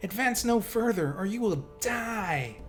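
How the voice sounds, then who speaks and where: A put-on character voice with a fairly high pitch speaks at a fairly slow pace. Music plays clearly in the background. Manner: commanding, threatening.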